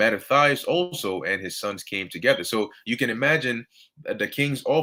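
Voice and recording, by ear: A passage is read aloud in a natural voice.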